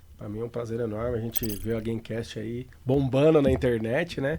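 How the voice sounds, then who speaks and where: Here a man speaks at a moderate pace. His pitch is medium, with ordinary pitch variation. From Brazil, São Paulo city. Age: 40s. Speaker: financial trader. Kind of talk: interview. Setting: studio.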